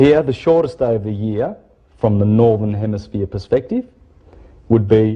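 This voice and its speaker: A man speaks in a fairly low, somewhat breathy voice with ordinary pitch variation. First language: Italian. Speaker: esoteric lecturer. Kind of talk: lecture. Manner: halting, with false starts.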